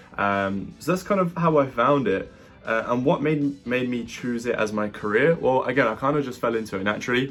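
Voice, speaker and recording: Music plays in the background as a man of medium pitch speaks. His pace is fairly quick and his intonation lively. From UK, from age 10; born in Latvia. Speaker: entrepreneur, digital marketing agency owner. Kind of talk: interview Q&A monologue. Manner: casual, many fillers.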